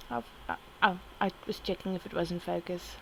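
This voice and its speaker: Her pace is moderate. This woman's pitch rises and falls in an ordinary way. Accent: South African. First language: Afrikaans. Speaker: artist vlogger. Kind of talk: casual chat. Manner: halting.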